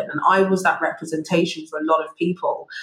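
A woman with a London accent, fairly low pitch and moderate pace. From London (Wimbledon), England. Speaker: finance executive. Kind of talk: interview. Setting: remote call.

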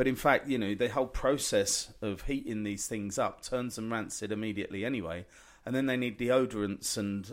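A speaker with an English accent talks at a moderate pace, with hardly any pauses. Pitch varies in an ordinary way, and the recording is very clean with a silent background. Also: man. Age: 40s. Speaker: chef. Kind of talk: casual chat.

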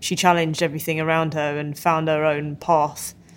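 The speaker has a British accent and keeps a moderate pace. The recording is very clean, with a silent background. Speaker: football podcast co-host. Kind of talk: casual chat.

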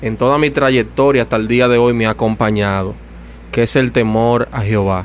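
Noticeable background noise behind a man speaking at a moderate pace, his pitch medium and his intonation fairly even. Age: 30s. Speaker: evangelical preacher. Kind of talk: testimony.

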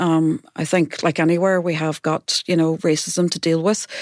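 With a Derry accent, a woman talks at a moderate pace and fairly low pitch in monotone, flat intonation, the sound dry and close with no echo. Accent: Northern Irish (Derry). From Northern Ireland, Derry. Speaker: music centre chief executive. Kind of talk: panel discussion. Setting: studio.

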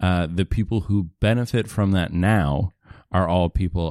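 The sound is dry and close, with no echo, in a very clean recording over a silent background. A man speaks with ordinary pitch variation. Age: 20s. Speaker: comedian. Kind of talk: casual chat.

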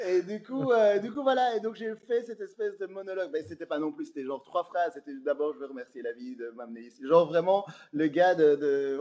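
High-pitched, a man speaks with very wide pitch swings and big swings in loudness. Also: hardly any pauses. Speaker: comedian. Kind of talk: casual interview. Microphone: slight echo from speaker problem.

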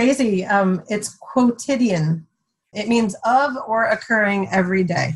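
A woman speaks in a fairly high, somewhat breathy voice. Her pace is fairly slow, with ordinary pitch variation. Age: 50s. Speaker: mother of seven. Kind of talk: casual chat.

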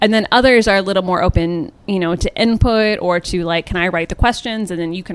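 This woman has a plain, everyday voice, pitched fairly low. She talks at a fairly quick pace with ordinary pitch variation. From US Midwest, rural Ohio. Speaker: entertainment writer and podcaster. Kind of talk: casual interview.

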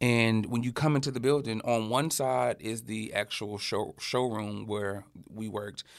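With an Alabama accent, a man talks at a fairly slow pace with fairly even intonation. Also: medium pitch for a man. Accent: Southern US (Alabama). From US South, Birmingham, Alabama. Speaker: fashion creative and brand founder. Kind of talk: interview conversation.

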